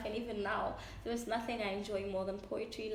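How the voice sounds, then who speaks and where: A woman speaks fairly quickly in a fairly high, monotone, flat voice, with audible room echo and noticeable background noise. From Lesotho. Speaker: poet. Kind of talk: casual interview. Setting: in-person podcast recording in Cape Town.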